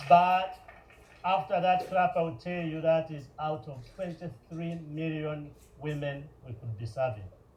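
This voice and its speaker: A man speaks fairly slowly with a fairly high pitch and ordinary pitch variation. His loudness swings widely, and the room echo is audible. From Uganda. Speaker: nonprofit founder. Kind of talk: public speech. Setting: stage with audience.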